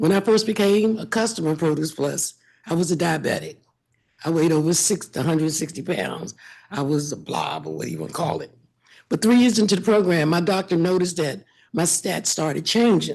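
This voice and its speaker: The voice carries vocal fry and ordinary pitch variation. Its pace is fairly quick. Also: woman, fairly low pitch for a woman. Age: 70s. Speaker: public witness, food program volunteer. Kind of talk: testimony.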